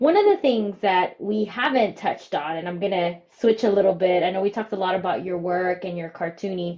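An excited, animated tone with ordinary pitch variation. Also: woman. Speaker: podcast co-host. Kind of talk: casual chat, interview.

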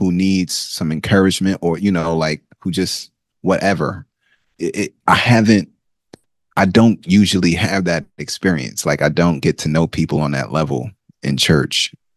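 A very deep, low male voice with vocal fry, ordinary pitch variation, and a moderate pace, recorded with a dry, close sound and no echo. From Nigeria. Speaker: co-host and teacher. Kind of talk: casual chat.

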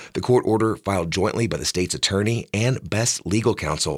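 A man with a plain, everyday voice speaks at a fairly quick pace, his fairly low pitch moving with ordinary variation, on a very clean recording with a silent background. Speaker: radio newscaster. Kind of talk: brisk, polished radio news reading, crisp and evenly paced. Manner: formal; measured, neutral and steady.

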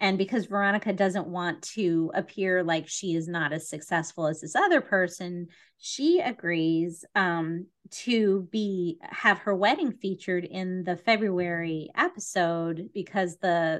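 A woman's ordinary speaking voice at medium pitch, with ordinary pitch variation and a fairly slow pace, over a quiet background. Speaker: podcast host. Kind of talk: casual chat.

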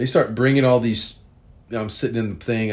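A man talks at a very fast pace. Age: 40s. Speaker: podcaster telling personal stories. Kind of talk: storytelling monologue. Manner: casual, rambling with fillers.

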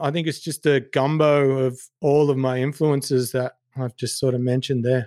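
A man with an Australian accent speaks at a fairly high pitch on a very clean recording with a silent background. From Sydney, southwest. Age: 40s. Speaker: singer and entertainment manager. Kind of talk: casual chat.

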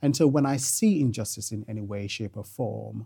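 A man's dark, mellow, somewhat breathy voice at a medium pitch, with ordinary pitch variation. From Jamaica. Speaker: family law barrister. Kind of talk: interview.

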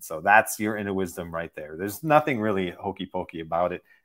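A man with an unremarkable speaking voice talks at a fairly quick pace with lively intonation. The recording is very clean, with a silent background. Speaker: meditation teacher and author. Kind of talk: interview.

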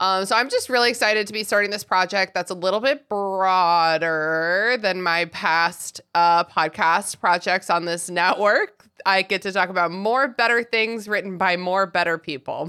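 Hardly pausing, a woman with a medium pitch speaks in a bright, sharp, animated tone. The recording is very clean with a silent background. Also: ordinary pitch variation, moderate pace. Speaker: podcast host and author. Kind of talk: casual chat.

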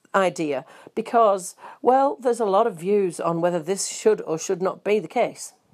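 The pace stays moderate. The accent is a New Zealand one. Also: woman. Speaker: fitness studio host and instructor. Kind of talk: podcast presenting health and fitness news and advice.

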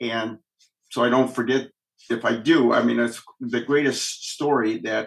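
Here a man speaks with a Midwestern US accent. His pace is fairly slow. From Michigan, Kalamazoo. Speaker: police officer. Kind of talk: testimony.

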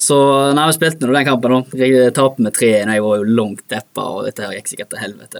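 At a fairly quick pace, a man with a medium pitch speaks in an ordinary speaking voice, keeping his intonation fairly even. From Norway, Bømlo (Hordaland). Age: 20s. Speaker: professional footballer. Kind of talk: interview. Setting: studio.

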